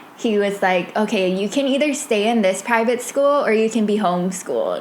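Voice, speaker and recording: Amid noticeable background noise and audible room echo, a woman speaks in a fairly high voice. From Hawaii (Wahiawa, Oahu). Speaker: podcast host. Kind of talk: casual monologue. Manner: casual, filler-heavy.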